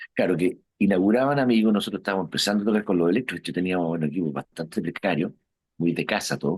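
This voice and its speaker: A man speaks very fast with a Chilean accent. His voice is very deep and low, with ordinary pitch variation. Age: 60s. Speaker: rock musician. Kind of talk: interview. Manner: casual, hesitant with fillers.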